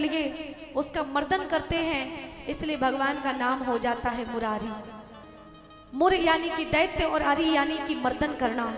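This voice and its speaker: A woman speaks with a high-pitched voice. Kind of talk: live devotional katha discourse (Bhagwat katha).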